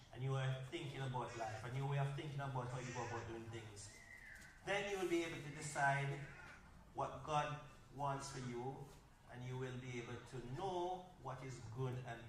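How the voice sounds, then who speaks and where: Over noticeable background noise, a man talks in a Jamaican accent at a moderate pace. The room echo is audible. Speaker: workshop speaker. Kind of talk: workshop talk.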